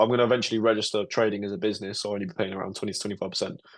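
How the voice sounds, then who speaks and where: A man with a British accent talks at a very fast pace and a fairly low pitch in a monotone, flat intonation, with a quiet background. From UK. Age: 20s. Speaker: trader. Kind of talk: casual interview.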